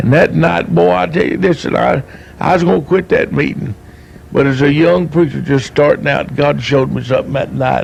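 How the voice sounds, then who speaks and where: Speaking at a fairly quick pace with an East Tennessee accent, a man talks over noticeable background noise. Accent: East Tennessee Southern American. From US South, East Tennessee (Knoxville area). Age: 60s. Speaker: evangelist. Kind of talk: testimony. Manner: animated.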